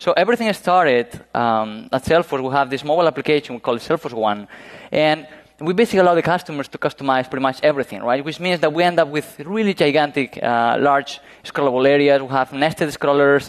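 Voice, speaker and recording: A man with a Spanish accent talks very fast, his fairly high pitch moving with ordinary variation. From Spain, Galicia (northwest). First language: Spanish or Galician. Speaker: web performance engineer. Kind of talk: conference talk. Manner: halting, many fillers.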